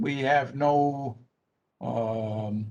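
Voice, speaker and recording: The speaker is a man. He talks at a fairly high pitch. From Six Nations of the Grand River, Ontario. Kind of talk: Q&A after a talk. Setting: online video call.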